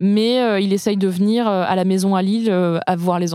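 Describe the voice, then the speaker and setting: At a fairly slow pace, a woman speaks with a medium pitch and fairly even intonation. Her tone is dark and mellow, on a very clean recording with a silent background. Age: 30s. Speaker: journalist and author. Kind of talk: casual chat. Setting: studio.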